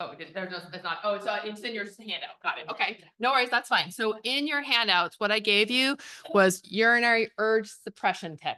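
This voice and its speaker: Loud and bright with a sharp tone, a woman speaks at a fairly quick pace. Her pitch is fairly high and varies in an ordinary way. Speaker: pelvic floor physical therapist. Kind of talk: health talk to audience. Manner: fast.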